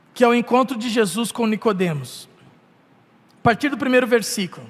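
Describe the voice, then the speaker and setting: Loudness swings widely from moment to moment. Pitch varies in an ordinary way. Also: man, extremely high pitch for a man, moderate pace. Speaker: pastor. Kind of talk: sermon.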